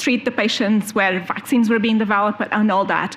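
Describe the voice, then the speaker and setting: Over noticeable background noise, a woman talks at a medium pitch and with fairly even intonation. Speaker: EU health official. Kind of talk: conference presentation. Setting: conference panel with audience. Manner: fast.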